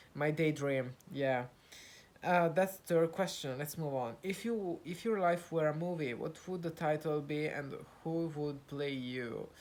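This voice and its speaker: A man speaks in an Italian accent at a fairly slow pace. His pitch is fairly high, with ordinary variation. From Italy. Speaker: YouTuber practicing English. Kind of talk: casual vlog monologue. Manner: halting, many fillers.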